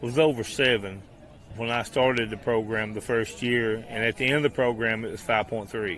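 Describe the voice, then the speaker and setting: A man with an Appalachian accent speaks at medium pitch with fairly even intonation. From eastern Kentucky, Appalachia. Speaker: walking program organizer. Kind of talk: radio interview. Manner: casual.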